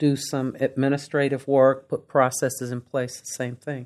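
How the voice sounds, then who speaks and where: In a very clean recording with a silent background, a woman speaks at a moderate pace with a very deep, low pitch. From Kentucky, Lexington. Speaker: seminary vice president and minister. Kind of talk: interview, personal testimony.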